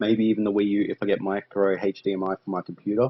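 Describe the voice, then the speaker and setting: A man speaks with an Australian accent at a fairly low pitch. His intonation is monotone and flat. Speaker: gaming YouTuber. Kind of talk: gameplay commentary. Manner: fast.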